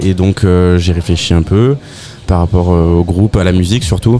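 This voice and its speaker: A man with a very deep, low pitch talks at a moderate pace with fairly even intonation. Noticeable background noise can be heard. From southern France. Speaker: rock band musician. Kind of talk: casual interview.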